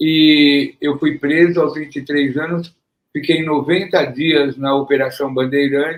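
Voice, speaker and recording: The speaker, a man, takes a fairly slow pace. He sounds monotone and flat. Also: fairly high pitch for a man. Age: 70s. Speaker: former politician and human rights activist. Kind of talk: interview.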